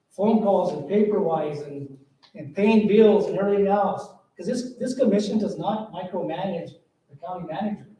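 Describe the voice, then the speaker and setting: Audible room echo surrounds a man with a high pitch who talks at a moderate pace, with ordinary pitch variation and big swings in loudness. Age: 60s. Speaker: county commissioner. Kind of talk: farewell speech at public meeting. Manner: halting.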